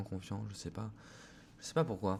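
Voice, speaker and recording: This man's voice sits at a very deep, low pitch. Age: 20s. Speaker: vlogger and clothing brand founder. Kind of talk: casual vlog monologue. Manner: hesitant, many fillers.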